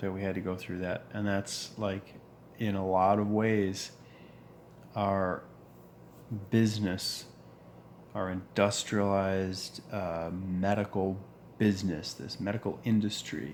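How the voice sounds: A man speaks slowly in a low voice with little pitch movement and long, frequent pauses. His tone is slightly mellow.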